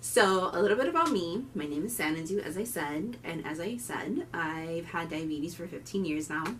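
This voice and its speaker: A woman with a Miami accent at a moderate pace, fairly low in pitch, with lively intonation, hardly any pauses, audible room echo and music in the background. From Miami, Florida (Cuban-American family). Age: 20s. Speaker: diabetes vlogger and student. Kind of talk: casual vlog introduction. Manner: animated.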